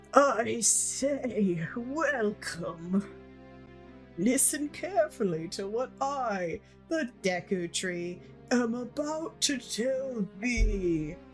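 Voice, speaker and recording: A female-sounding put-on character voice, fairly high in pitch and very slow, over clear music in the background. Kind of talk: archaic, formal.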